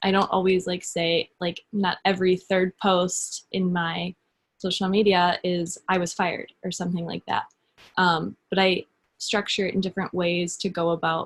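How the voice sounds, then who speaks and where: At a moderate pace, a woman with a medium pitch speaks in a monotone, flat intonation, somewhat breathy, in a dry, close sound with no echo. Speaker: social media coach, fitness business coach. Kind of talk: webinar presentation.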